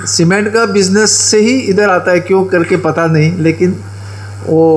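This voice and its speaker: Over noticeable background noise, a man speaks at a high pitch. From Goa, India. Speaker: event speaker introducing chief guest. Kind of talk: ceremonial speech. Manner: halting, with filler sounds.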